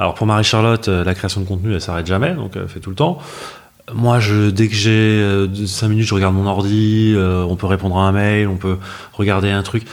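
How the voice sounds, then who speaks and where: A man's fairly low, fairly even-toned voice at a fairly quick pace, with noticeable background noise. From Paris, France. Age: 40s. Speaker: business partner of content creator, newlywed. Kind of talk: podcast interview.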